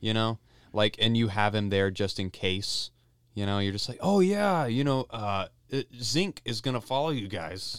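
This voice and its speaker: A man talks at a moderate pace and a medium pitch with ordinary pitch variation, in an unremarkable speaking voice. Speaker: podcast host. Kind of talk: casual chat. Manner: joking, playful.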